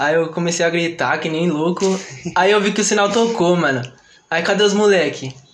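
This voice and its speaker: A high-pitched male voice at a moderate pace, with ordinary pitch variation, audible room echo and noticeable background noise. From São Paulo, Vila Maria. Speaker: trap musician. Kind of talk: casual chat. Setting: studio.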